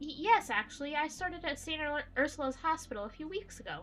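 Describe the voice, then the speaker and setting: A woman's put-on character voice, high-pitched and very fast, with lively intonation, big swings in loudness and clear background noise. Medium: game stream. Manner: polite, slightly flustered.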